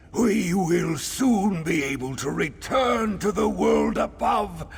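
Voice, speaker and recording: Using a put-on character voice, a man speaks at a very slow pace. Clear background noise runs underneath. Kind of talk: regal formal speech. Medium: video game. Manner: haughty, commanding.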